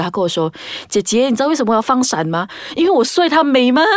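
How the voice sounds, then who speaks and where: A woman rattles along very fast, her pitch swinging very widely, while noticeable noise sounds behind her. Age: 20s. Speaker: podcast host. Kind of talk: casual chat.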